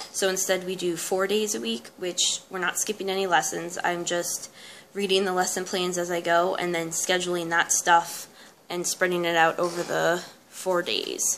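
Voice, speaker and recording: A soft-spoken woman with a fairly low pitch, at a moderate pace. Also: fairly even intonation. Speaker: homeschooling mom and vlogger. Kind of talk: casual tutorial.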